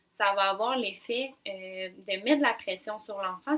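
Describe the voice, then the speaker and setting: Speaking at a fairly slow pace, a woman uses a plain, everyday voice of medium pitch with ordinary pitch variation. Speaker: speech-language pathologist. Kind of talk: expert advice explanation.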